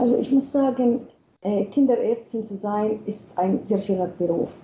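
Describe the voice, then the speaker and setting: Speaking at a very slow pace, a woman with an Arabic accent uses ordinary pitch variation. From Palestine, Bethlehem. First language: Arabic (speaking German). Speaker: pediatrician, hospital chief physician. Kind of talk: radio interview. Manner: hesitant, many fillers.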